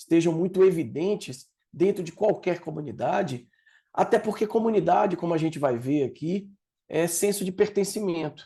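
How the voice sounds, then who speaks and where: This man's voice has a dark, mellow tone, a high pitch for a man, and ordinary pitch variation. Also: moderate pace, quiet background. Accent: Bahian. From Brazil, Salvador, Bahia. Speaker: project leader and learning designer. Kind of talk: talk. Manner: lecturing, didactic.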